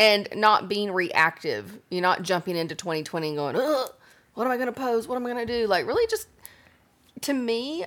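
A woman's plain, everyday voice with lively intonation, on a very clean recording with a silent background. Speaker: podcast co-host, lifestyle blogger. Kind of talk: casual chat. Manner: casual, chatty.

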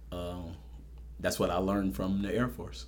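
Vocal fry with audible room echo. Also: man. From New Orleans, Ninth Ward. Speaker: police officer and city marshal candidate. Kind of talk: interview.

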